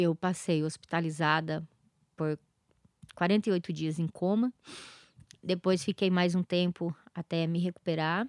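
A woman with a fairly low pitch speaks very slowly, leaving long, frequent pauses in fairly even intonation. The recording is very clean, with a silent background. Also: dry, close sound with no echo. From southern Brazil, interior of Paraná. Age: 40s. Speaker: founder of a support association for abuse victims. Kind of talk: interview, personal testimony.

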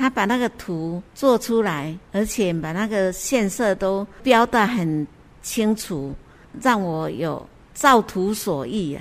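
In a Taiwanese accent, a woman of medium pitch speaks at a very slow pace with lively intonation. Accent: Taiwanese Mandarin. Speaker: cross-stitch crafter. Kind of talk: interview. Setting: on location at a cultural center.

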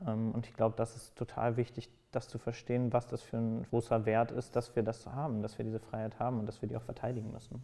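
This man speaks at a very fast pace with hardly any pauses, in a medium pitch and a monotone, flat intonation. His dark, mellow tone comes with big swings in loudness. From Germany, Cologne. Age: 20s. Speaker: podcast editorial team lead. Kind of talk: interview.

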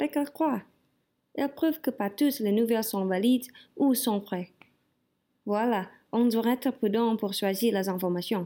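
With an Indonesian accent, a woman talks at a fairly slow pace with long, frequent pauses, her pitch fairly high and its variation ordinary. Her tone is dark and mellow, and the recording is very clean with a silent background. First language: Indonesian (speaking French). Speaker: language student. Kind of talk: class assignment monologue.

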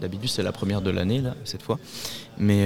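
A man with a fairly low pitch talks amid noticeable background noise. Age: young. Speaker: youth association volunteer. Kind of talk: interview. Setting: live event. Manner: halting.

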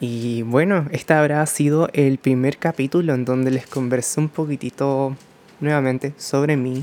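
A man speaks with a normal speaking voice at a fairly slow pace. His fairly high pitch follows fairly even intonation. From Chile. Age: 20s. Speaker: podcast host, makeup artist. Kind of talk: casual monologue. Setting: at home by a window.

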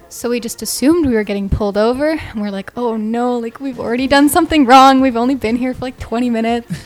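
With a Canadian accent, a woman talks at a very fast pace with hardly any pauses, her high pitch showing ordinary variation as music plays in the background. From Canada. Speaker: university student traveler. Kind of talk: casual chat. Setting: studio.

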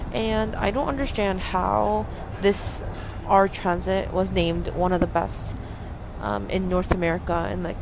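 A woman speaks over noticeable background noise. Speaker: podcaster. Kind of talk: casual monologue. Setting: subway train. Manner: halting.

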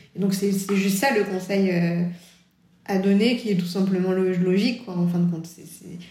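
A woman of medium pitch talks at a moderate pace in a dark, mellow, somewhat breathy tone, her intonation fairly even and her loudness swinging widely. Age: 30s. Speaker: children's book author. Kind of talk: interview. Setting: remote recording.

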